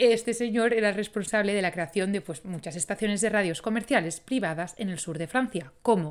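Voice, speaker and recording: Over a silent background in a very clean recording, a woman speaks in an animated tone at a medium pitch with ordinary pitch variation. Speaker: podcast host. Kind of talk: scripted narration.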